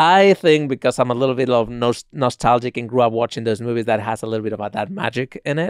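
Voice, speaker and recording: This man has a medium pitch and a Spanish accent. The recording is very clean with a silent background, and the sound is dry and close with no echo. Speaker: podcast host. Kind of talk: podcast movie review talk.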